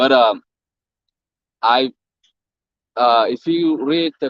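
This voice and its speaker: Recorded dry and close with no echo, a man with a non-native accent speaks at a medium pitch. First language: not English. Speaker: passerby questioning preachers. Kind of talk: religious discussion. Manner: halting.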